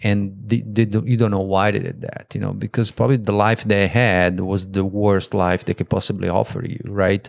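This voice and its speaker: Fairly low pitch from a man with an Italian accent, hardly any pauses and fairly even intonation, on a very clean recording with a silent background. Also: moderate pace. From Italy. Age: 50s. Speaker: guest interviewer. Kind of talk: casual chat.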